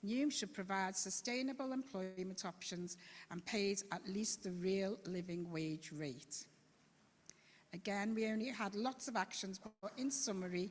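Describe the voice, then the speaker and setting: Speaking in a Scouse accent, a woman sounds somewhat breathy at a medium pitch, with ordinary pitch variation and a fairly slow pace. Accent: Liverpool (Scouse), still present. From Liverpool. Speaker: citizens' assembly member. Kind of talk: presentation at council meeting. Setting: council chamber meeting.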